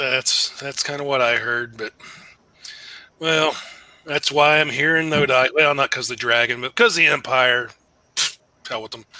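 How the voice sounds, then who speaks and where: Using a raspy, put-on character voice with a fairly high pitch, a man talks at a moderate pace, broken by long, frequent pauses. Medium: actual play. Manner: hearty, folksy, sly.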